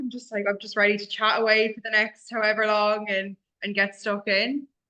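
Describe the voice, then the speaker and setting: This woman has an Irish accent and a fairly high pitch. She talks at a fairly quick pace. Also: hardly any pauses, big swings in loudness. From Ireland. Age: 20s. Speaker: office manager, ex-radio host, co-host. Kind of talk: casual interview chat. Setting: office.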